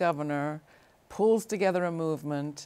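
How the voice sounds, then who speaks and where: A woman speaks in an ordinary speaking voice, fairly low in pitch. She talks at a fairly slow pace with ordinary pitch variation. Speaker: TV interview host. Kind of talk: interview conversation. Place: studio. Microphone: lapel.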